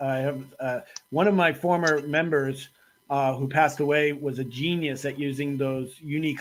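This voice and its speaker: A fairly high-pitched man with an American accent. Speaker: talk show host. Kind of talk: panel discussion.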